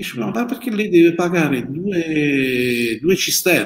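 At a moderate pace, lively intonation runs through a man's a plain, everyday voice. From Apulia, Italy. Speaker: winemaker. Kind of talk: live-streamed interview. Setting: old wine cellar.

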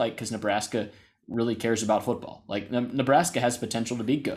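A man talks at a very fast pace with an American accent. His pitch sits in the medium range. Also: very clean recording, silent background. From US South. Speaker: sports podcast co-host. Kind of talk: casual chat. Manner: animated.

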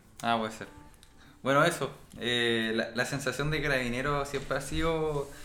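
A man speaks at a moderate pace with a fairly high pitch and a bright, sharp tone. His intonation is fairly even, with audible room echo. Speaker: podcast co-host. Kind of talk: casual chat.

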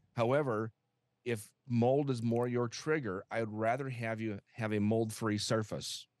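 A man with an American accent uses a normal speaking voice at a medium pitch, keeping a moderate pace and fairly even intonation. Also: quiet background. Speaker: home health expert. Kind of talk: interview conversation.

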